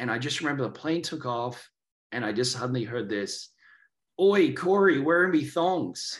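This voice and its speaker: A man speaks with an Australian accent and lively intonation. Audible room echo surrounds his voice. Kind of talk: casual chat.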